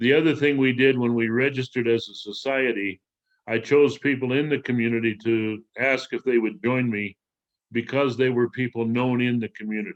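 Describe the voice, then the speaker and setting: Here is a man with an ordinary speaking voice at a medium pitch. He talks at a moderate pace with fairly even intonation. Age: 60s. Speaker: former mathematics teacher, waste management entrepreneur. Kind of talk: interview answer.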